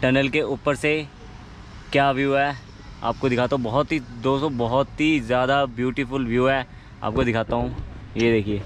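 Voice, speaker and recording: In a dry recording with no echo and light background noise, a man talks at a fairly slow pace with fairly even intonation, very even loudness and long, frequent pauses. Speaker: travel vlogger. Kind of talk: casual vlog chat. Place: forest. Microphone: phone near.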